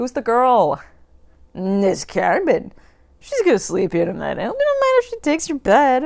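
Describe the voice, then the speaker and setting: This is a put-on character voice that sounds female. The pitch sits high for a woman. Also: moderate pace. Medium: read story.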